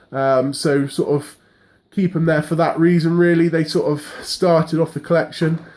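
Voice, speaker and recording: With an English accent, a man speaks in a monotone, flat intonation at very even loudness. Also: fairly high pitch for a man. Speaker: horror collector vlogger. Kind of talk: casual room tour monologue. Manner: fast; hesitant.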